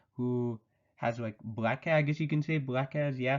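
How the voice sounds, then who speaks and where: Mumbling at a moderate pace, a man speaks at medium pitch with ordinary pitch variation. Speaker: anime reviewer. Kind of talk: video review monologue. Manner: casual, rambling with self-corrections.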